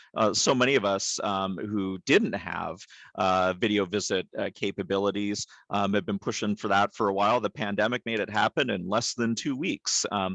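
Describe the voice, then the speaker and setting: Against a quiet background, a man with a plain, everyday voice speaks at a moderate pace in a fairly low pitch with fairly even intonation, in a dry, close sound with no echo. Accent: Canadian. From Canada. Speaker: behavioral health leader in psychiatry. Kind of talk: webinar presentation. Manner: frequent fillers (um, uh).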